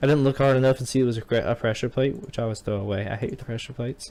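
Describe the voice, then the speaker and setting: The speaker has a slight Southern accent. Pitch varies in an ordinary way. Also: man. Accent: slight southern drawl. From US South, Georgia family. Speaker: gaming video host. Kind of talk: let's play commentary. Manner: casual, rambling with repetitions.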